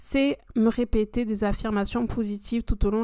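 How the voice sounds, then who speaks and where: The voice has a dark, mellow tone and monotone, flat intonation, captured on a very clean recording with a silent background. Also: woman. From France, Ardèche. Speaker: podcast host. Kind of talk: personal monologue podcast. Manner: hesitant with many fillers.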